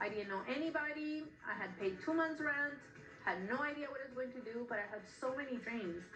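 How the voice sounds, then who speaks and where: A woman's high voice with lively intonation at a fairly quick pace, with music in the background and audible room echo. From Peru. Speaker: shoe designer, former sports anchor. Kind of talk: interview.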